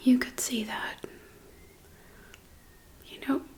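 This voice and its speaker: A woman whispers. There is noticeable background noise behind her. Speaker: ASMR creator. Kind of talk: ASMR mukbang rambling movie review. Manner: soft-spoken.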